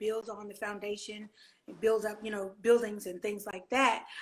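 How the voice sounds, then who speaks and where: Here a woman talks with a Southern US accent. Her pitch sits fairly high. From Louisiana. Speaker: gospel singer. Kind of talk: casual interview.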